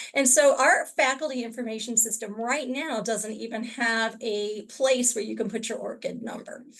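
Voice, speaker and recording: A woman with a fairly high pitch speaks in a normal speaking voice with fairly even intonation. She keeps a moderate pace and hardly any pauses. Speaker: university librarian. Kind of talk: webinar presentation.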